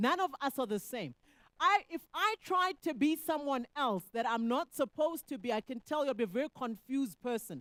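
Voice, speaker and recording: A woman speaks loudly in a high voice with very wide pitch swings, the sound dry and close with no echo. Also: moderate pace. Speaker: economist. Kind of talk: panel discussion answer.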